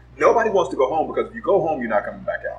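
The speaker is a man with an American accent. Music plays in the background. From Los Angeles, US West Coast. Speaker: advertising and marketing professional. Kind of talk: casual chat.

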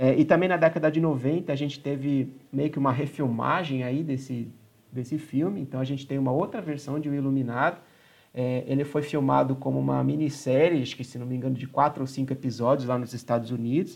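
A man's fairly high, fairly quick, plain, everyday voice with fairly even intonation over a quiet background. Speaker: podcast host. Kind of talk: casual chat.

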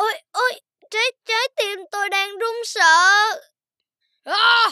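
A put-on character voice comes at an extremely high pitch and sounds shaky. It moves at a very slow pace. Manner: trembling with fear.

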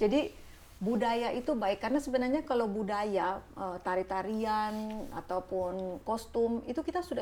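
Her tone is dark and mellow, though the woman's pitch sits fairly high. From Indonesia, Ambon (Maluku). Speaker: diplomat, consul general. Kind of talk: casual interview. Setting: consulate guest room.

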